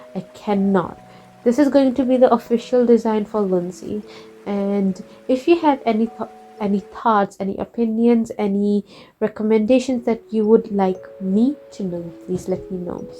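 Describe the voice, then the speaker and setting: Over noticeable background noise, a woman with a non-native accent speaks at a moderate pace, her fairly high pitch showing ordinary pitch variation. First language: not English. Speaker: art YouTuber, webcomic creator. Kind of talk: casual draw-with-me chat. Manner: halting, self-correcting.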